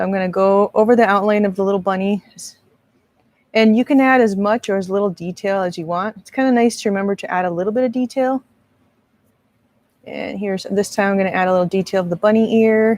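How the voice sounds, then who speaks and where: A woman talks at a very fast pace but with long, frequent pauses, her medium pitch held in fairly even intonation. The sound is dry and close with no echo. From US West Coast, Marin County, California. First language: Spanish. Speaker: art instructor and video creator. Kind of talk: live stream tutorial. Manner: casual, chatty.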